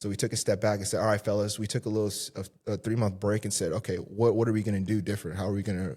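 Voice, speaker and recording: A man with an American accent speaks very fast, his voice fairly low, somewhat breathy and dark and mellow in tone. The recording is very clean, with a silent background. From Southern California. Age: 20s. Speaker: fitness coach. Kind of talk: casual interview. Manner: animated, filler-heavy.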